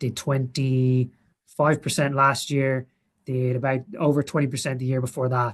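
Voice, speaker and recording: A man with a strong Irish accent speaks at a medium pitch in a somewhat breathy voice. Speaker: portfolio manager. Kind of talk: webinar presentation. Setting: webinar with screen share. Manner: halting, many fillers.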